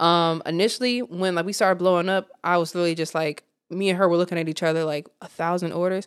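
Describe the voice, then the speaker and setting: Talking at a very fast pace, a woman with an American accent has a fairly low pitch. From Virginia, military family (born Cleveland). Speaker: herbal shop owner. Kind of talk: casual interview chat. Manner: animated.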